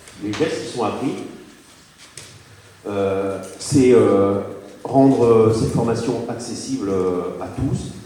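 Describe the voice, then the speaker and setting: Over noticeable background noise and audible room echo, a man with a medium pitch talks at a very slow pace, with ordinary pitch variation and long, frequent pauses. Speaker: fire brigade officer and association president. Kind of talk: public presentation. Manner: hesitant with many fillers.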